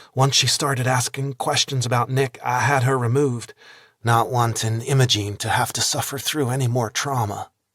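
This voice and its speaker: Doing a shaky, put-on character voice, a man speaks at a moderate pace in a medium pitch with monotone, flat intonation, in a dry, close sound with no echo. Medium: read story. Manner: hesitant, trembling.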